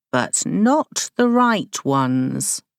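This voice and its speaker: Someone performs a put-on character voice. The recording is very clean, with a silent background. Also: woman, medium pitch for a woman. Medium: read story. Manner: placid, cryptic, benevolent.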